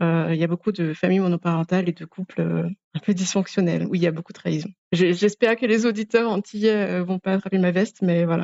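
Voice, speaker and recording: The speech goes at a very fast pace with fairly even intonation. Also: woman, medium pitch for a woman. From Guadeloupe, French Antilles. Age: 30s. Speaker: podcast guest. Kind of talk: personal interview testimony. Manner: hesitant, with frequent fillers.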